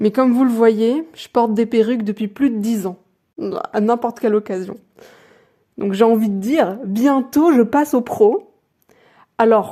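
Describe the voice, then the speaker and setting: Pitched fairly high, a woman's voice shows ordinary variation in pitch. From France, with Colombian family culture. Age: 20s. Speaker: YouTuber, vlogger. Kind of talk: personal vlog narration. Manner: soft-spoken, effortful.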